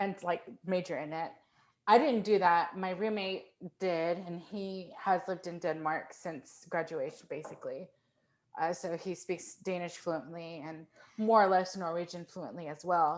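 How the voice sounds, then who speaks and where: In an ordinary speaking voice, a woman talks at a moderate pace with fairly low pitch, fairly even intonation and big swings in loudness. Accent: American. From US, Fort Worth, Texas. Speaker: composer. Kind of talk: casual chat.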